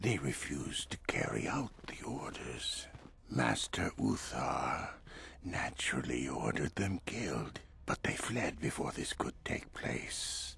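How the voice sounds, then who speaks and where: A man whispering in a put-on character voice at a fairly slow pace. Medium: video game. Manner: polished, measured.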